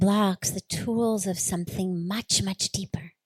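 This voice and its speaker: A somewhat breathy woman speaks at a very slow pace with ordinary pitch variation. The sound is dry and close, with no echo. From Los Angeles, USA. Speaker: spiritual leader. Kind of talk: spiritual discourse.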